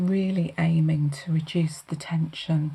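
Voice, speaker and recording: A woman speaks very slowly in a very deep, low pitch, somewhat breathy, with monotone, flat intonation. Her tone is dark and mellow, calm and gentle. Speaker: holistic therapist giving a hand massage. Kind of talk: calm guided treatment talk in an ASMR massage session. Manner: calm, gentle, soothing.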